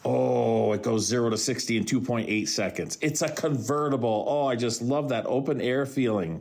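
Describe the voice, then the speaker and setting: Amid noticeable background noise and audible room echo, a man of medium pitch speaks at a moderate pace with ordinary pitch variation, very even loudness and hardly any pauses. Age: 60s. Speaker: podcast host and radio broadcaster. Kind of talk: solo podcast monologue. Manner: animated.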